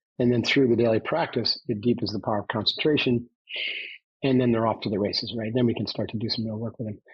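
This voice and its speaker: A man with an American accent speaks at a very fast pace in a medium pitch. His voice is somewhat breathy, and his intonation is fairly even. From upstate New York. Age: 60s. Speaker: former navy commando and trainer. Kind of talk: podcast interview.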